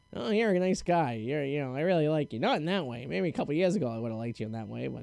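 Putting on a character voice, a man talks at a very fast pace, fairly high in pitch and creaky, with very wide pitch swings.

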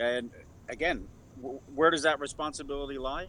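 A man with a New York accent talks at a fairly high pitch. His tone is bright and sharp, and his intonation stays fairly even. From New York City (Bronx). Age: 50s. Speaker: radio news reporter. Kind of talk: casual chat. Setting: video call.

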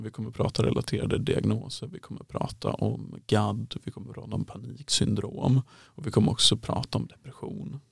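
The speech moves at a fairly quick pace with hardly any pauses and big swings in loudness, in a dry, close sound with no echo. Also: man. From western Sweden (Halland). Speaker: psychologist in training. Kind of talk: casual interview.

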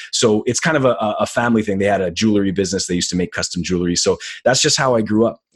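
Talking at a very fast pace with a Montreal accent, a man uses a fairly low pitch with ordinary pitch variation. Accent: Montreal anglophone Canadian English. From Canada, Montreal. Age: 30s. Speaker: graphic designer and boxing commentator. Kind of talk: casual chat. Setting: video call.

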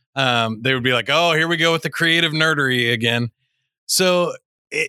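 Bright and sharp in tone, a man with a Midwestern accent speaks at a fairly high pitch with lively intonation, captured dry and close with no echo on a very clean recording with a silent background. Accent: General American (Midwest). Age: 40s. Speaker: public speaker and podcast host. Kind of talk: interview. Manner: animated.

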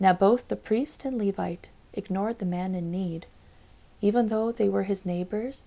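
A woman with a gentle, dark, mellow tone speaks at a medium pitch and a fairly slow pace, with ordinary pitch variation. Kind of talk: literary audiobook reading of a rhyming children's Bible story. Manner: gentle, storytelling cadence with sing-song rhyme rhythm; warm, measured, read aloud for children.

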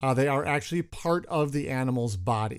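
In a very clean recording with a silent background, a man has an ordinary speaking voice at a medium pitch, with ordinary pitch variation and a moderate pace. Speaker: podcast host and naturalist.

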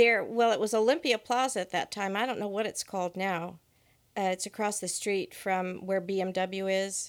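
A plain, everyday voice, a woman at medium pitch keeps her intonation fairly even on a very clean recording with a silent background. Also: moderate pace. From US West Coast, Monterey Peninsula. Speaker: church member. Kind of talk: interview.

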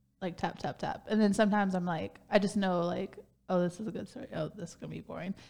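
The speech moves at a very fast pace with fairly even intonation. Vocal fry runs through it. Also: woman, medium pitch for a woman. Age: 30s. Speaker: podcast co-host. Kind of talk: casual chat.

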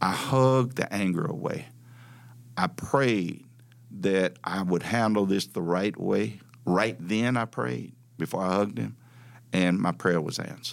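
A man with a Southern US accent and a very deep, low pitch, at a fairly slow pace with lively intonation and long, frequent pauses, on a very clean recording with a silent background. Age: 70s. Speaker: civil rights activist and former local politician. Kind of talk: personal storytelling interview.

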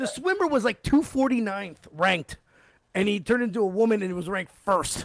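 A man talks in a high pitch at a fairly quick pace. His tone is animated. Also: lively intonation. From Canada. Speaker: podcast host. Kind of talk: casual chat.

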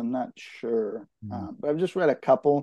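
At a moderate pace, a man with an unremarkable speaking voice and fairly high pitch uses lively intonation. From California, East Bay (Concord). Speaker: novelist. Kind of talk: interview.

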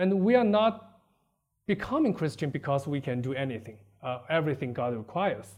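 Very wide pitch swings mark a man's fairly high voice as he talks at a fairly quick pace. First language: Chinese. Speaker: preacher. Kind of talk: sermon. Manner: halting.

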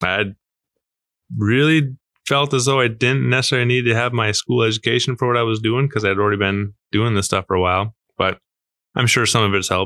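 A man with an American accent speaks at a fairly quick pace in a medium pitch, with ordinary pitch variation, a normal speaking voice, and a quiet background. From Wisconsin (Marshfield). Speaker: bike shop owner. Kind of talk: casual interview.

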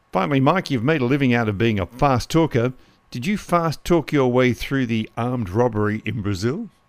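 In a normal speaking voice, a man talks at a fairly quick pace with a medium pitch and lively intonation. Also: very clean recording, silent background. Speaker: podcast host. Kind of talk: interview.

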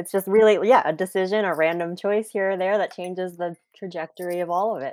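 In an American accent, a woman with an unremarkable speaking voice talks fairly quickly at medium pitch, her intonation fairly even. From New Jersey, US. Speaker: adoptee, social worker. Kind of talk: casual interview.

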